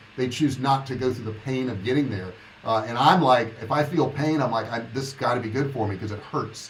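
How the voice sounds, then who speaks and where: Speaking at a fairly quick pace, a man is heard with audible room echo and noticeable background noise. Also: medium pitch for a man, ordinary pitch variation. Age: 60s. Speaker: online business coach. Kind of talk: livestream monologue. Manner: casual, conversational.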